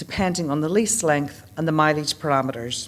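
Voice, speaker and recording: A woman speaks in a Northern Irish accent. Her pace is moderate and her intonation lively. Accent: Northern Irish accent, noticeable. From Northern Ireland. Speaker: leasing account manager. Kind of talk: conference presentation. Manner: formal.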